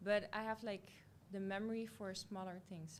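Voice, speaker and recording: The speaker has a Dutch accent. The pace is fairly quick. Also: woman. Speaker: beauty pageant contestant. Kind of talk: casual interview.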